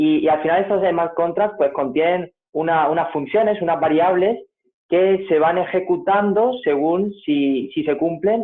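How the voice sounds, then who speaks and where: At a fairly slow pace, a man speaks in a high pitch with ordinary pitch variation and very even loudness. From Spain, Granada (Andalusia). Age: 19. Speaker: crypto enthusiast presenter. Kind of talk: tutorial presentation. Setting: video call. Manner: hesitant, many fillers and repetitions.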